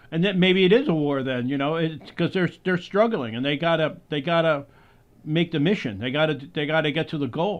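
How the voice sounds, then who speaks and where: A man speaks in a normal speaking voice, fairly high in pitch with ordinary pitch variation. His pace is fairly quick. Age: 60s. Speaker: podcast host and filmmaker. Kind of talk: interview conversation.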